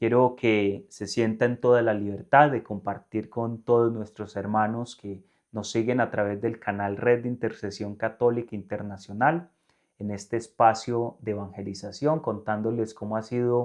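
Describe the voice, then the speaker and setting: An unremarkable speaking voice moves at a fairly slow pace with fairly even intonation. The background is quiet. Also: man. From Colombia, northern Valle del Cauca. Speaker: religious presenter. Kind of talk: interview.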